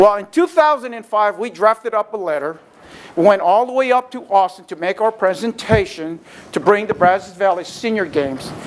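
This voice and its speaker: A man talks at a fairly quick pace with a high pitch and lively intonation. His tone is animated, with big swings in loudness. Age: 60s. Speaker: retired Marine, senior games organizer. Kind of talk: guest lecture. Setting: classroom with audience.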